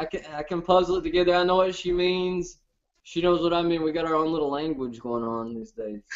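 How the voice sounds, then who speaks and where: A high-voiced man with a strong Southern US accent, at a fairly quick pace with ordinary pitch variation. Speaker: reality TV contestant, show host. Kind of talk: casual chat. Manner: hard to understand, fast.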